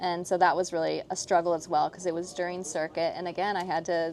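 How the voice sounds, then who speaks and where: A woman speaks softly in a fairly low voice. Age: 30s. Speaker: professional show jumping rider. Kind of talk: casual interview chat. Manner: soft-spoken.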